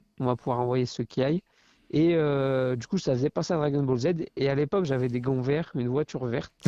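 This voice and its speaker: Heard in a dry, close sound with no echo, a man speaks fairly quickly in a dark, mellow tone with ordinary pitch variation. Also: medium pitch for a man. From France, Loire (near Saint-Étienne). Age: 20s. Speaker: professional kickboxer. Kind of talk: podcast interview. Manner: hesitant, many fillers.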